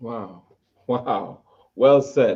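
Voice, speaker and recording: Speaking in a strong Jamaican accent, a man has a fairly high pitch. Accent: heavy Jamaican. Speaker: talk show host. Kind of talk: interview. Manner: halting, many repetitions.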